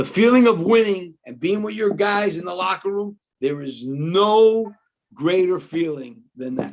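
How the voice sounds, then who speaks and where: The speaker has a New York accent, a fairly slow pace and big swings in loudness. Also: man, high pitch for a man, lively intonation. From New York City (Queens, Washington Heights). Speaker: basketball analyst, former college coach. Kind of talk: casual interview. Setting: video call.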